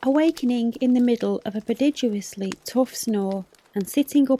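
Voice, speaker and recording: A soft-spoken woman talks at a moderate pace. The sound is dry and close with no echo, and the background noise is noticeable. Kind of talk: audiobook reading; bedtime story.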